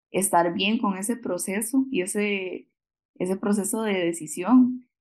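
Against a quiet background, a woman with a Costa Rican accent talks at a very slow pace with ordinary pitch variation. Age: 20s. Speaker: occupational therapy graduate. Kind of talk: interview conversation.

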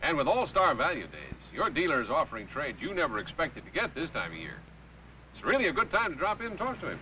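A man talks at a very fast pace in a high pitch, with very wide pitch swings, big swings in loudness, and light background noise. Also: dry sound with no echo. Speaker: announcer and actor. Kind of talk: TV commercial read.

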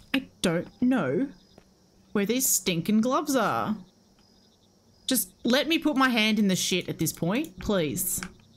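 At a very slow pace, a woman with a fairly high pitch makes very wide pitch swings, keeping her loudness very even and leaving long, frequent pauses. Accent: Australian. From Australia. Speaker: game streamer. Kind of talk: live gameplay commentary. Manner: casual, animated. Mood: frustrated, amused. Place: home room. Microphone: headset.

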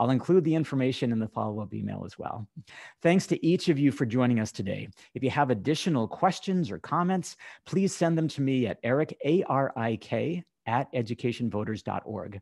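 A man with a normal speaking voice talks at a fairly quick pace with lively intonation. The sound is dry and close with no echo, over a quiet background. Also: medium pitch for a man. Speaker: communications director of advocacy organization. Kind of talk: scripted webinar introduction. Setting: video call. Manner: formal.

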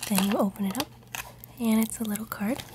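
Whispering and soft-spoken, a woman talks at a fairly slow pace over noticeable background noise. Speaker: ASMR creator. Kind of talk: ASMR show-and-tell. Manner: soft-spoken, whispery. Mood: warm, amused. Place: home room.

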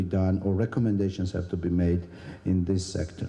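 The voice of a man sounds somewhat breathy. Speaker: government minister. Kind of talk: conference speech. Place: hall. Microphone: handheld.

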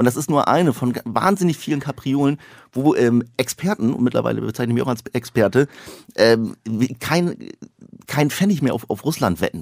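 Lively intonation and vocal fry mark this man's moderate-paced speech, recorded with a dry, close sound and no echo. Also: medium pitch for a man. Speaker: satirist, author and actor. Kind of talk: casual chat.

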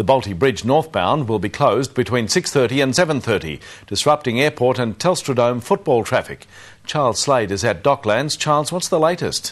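In a quiet background, a man with an Australian accent speaks at medium pitch and moderate pace with lively intonation. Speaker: TV news presenter. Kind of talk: news reading from studio. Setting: studio. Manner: formal, crisp. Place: studio. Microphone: lapel.

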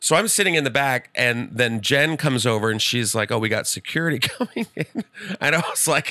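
In an American accent, a man speaks at a fairly quick pace with lively intonation and an animated, playful, bright and sharp tone, the sound dry with no echo over a quiet background. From Texas (San Antonio). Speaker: comedian. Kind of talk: casual chat. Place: studio. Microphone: studio mic.

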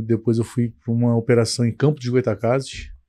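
A man speaks in a dark, mellow tone with monotone, flat intonation. The background is quiet. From Brazil, Petrópolis, Rio de Janeiro state; Rio de Janeiro state. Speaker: company founder; guest. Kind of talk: podcast interview. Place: studio. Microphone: studio mic.

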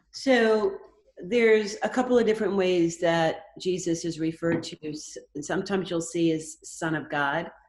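Her voice echoes audibly in the room. The woman's pitch is fairly low. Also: ordinary pitch variation, moderate pace. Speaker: Bible study participant. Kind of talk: group discussion. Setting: video call. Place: home room. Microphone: video call.

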